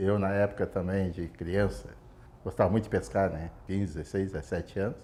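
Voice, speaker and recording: A man's very deep, low voice has a dark, mellow tone and fairly even intonation. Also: moderate pace. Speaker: fisherman. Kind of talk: interview testimony.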